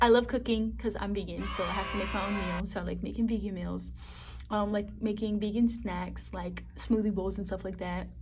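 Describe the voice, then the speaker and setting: Noticeable background noise and audible room echo surround the woman's voice. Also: fairly quick pace. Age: 20s. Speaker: vlogger. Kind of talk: casual talk to camera. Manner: fast; animated.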